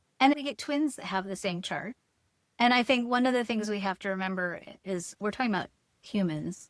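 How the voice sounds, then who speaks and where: In a very clean recording with a silent background, a woman with a normal speaking voice talks fairly quickly at medium pitch, with ordinary pitch variation and a dry, close sound without echo. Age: 60s. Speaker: human design teacher and author. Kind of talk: podcast interview.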